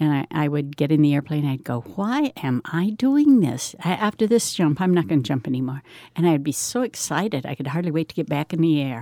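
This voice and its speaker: A woman's very deep, low voice with a dark, mellow tone, a fairly quick pace and hardly any pauses, in a dry, close sound with no echo. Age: 70s. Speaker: retired skydiver. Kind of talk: recorded conversation.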